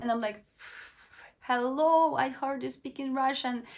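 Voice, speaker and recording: It is a very clean recording with a silent background. Delivery is moderate in pace, with lively intonation. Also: woman. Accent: Ukrainian. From western Ukraine. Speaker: vlogger. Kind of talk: personal storytelling vlog. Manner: halting, self-correcting.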